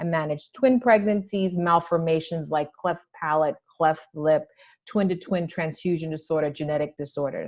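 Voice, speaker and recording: Over a quiet background, a woman speaks at a moderate pace in a plain, everyday voice, fairly low-pitched with ordinary pitch variation. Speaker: maternal fetal medicine doctor. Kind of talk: lecture.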